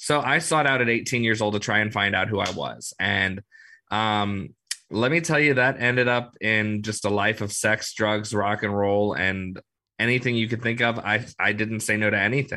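Bright and sharp in tone, a man's fairly low voice moves at a moderate pace with ordinary pitch variation over a quiet background. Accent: American. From US South, New Orleans. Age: 30s. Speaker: podcast host and mental health advocate. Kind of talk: interview.

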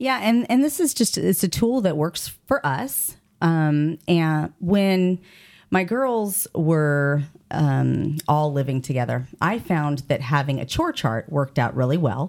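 Pitch swings very widely at a very slow pace. The recording is very clean with a silent background, and loudness stays very even. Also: woman, very deep, low pitch for a woman. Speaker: personal development mentor and podcast co-host. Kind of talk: casual interview conversation. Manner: animated.

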